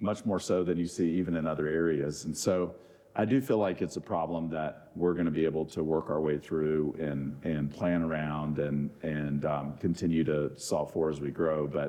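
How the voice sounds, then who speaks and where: A man with an American accent and a very deep, low pitch speaks with fairly even intonation and hardly any pauses. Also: moderate pace. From US South (Florida, then Mississippi). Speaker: golf tournament organizer and real estate executive. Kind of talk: panel Q&A. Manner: halting with many fillers.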